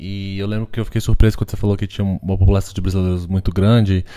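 Against a quiet background, a man talks at a very fast pace in a dark, mellow tone with fairly low pitch. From Brazil. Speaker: podcast host and artist; podcast host. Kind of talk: casual chat. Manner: halting, code-switching. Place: home room.

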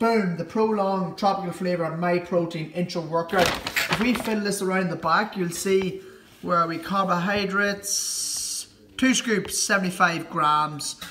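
Against light background noise, a man uses a raised, projected voice at a fairly slow pace with fairly even intonation. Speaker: fitness vlogger. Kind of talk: casual vlog chat. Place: kitchen. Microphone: phone near.

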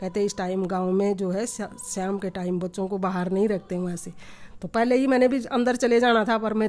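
A woman talking at a moderate pace. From Uttarakhand, India. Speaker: vlogger's mother. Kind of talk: storytelling. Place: home room. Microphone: phone near.

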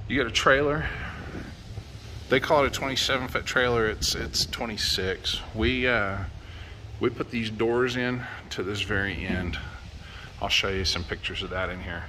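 Speaking at a fairly slow pace with long, frequent pauses, a man shows ordinary pitch variation over light background noise. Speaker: vlogger. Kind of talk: casual vlog chat. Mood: relaxed, amused. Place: street. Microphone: phone near.

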